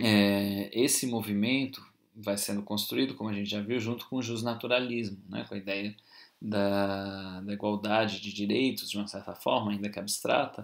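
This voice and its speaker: Fairly even intonation and a Brazilian accent come through on a very clean recording with a silent background. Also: man. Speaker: university lecturer. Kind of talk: lecture. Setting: recorded video class. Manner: informal, hesitant with fillers.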